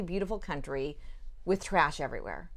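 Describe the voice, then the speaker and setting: A woman speaks loudly with an American accent. The background is quiet. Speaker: leadership organization executive. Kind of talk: interview.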